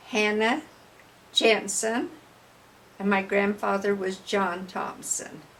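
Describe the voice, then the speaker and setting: A very slow delivery in a Utah accent, with long, frequent pauses and ordinary pitch variation. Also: woman, medium pitch for a woman. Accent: western US (Utah). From Utah, Cache Valley (Clarkston). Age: 80s+. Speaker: oral history interviewee. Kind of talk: oral history interview.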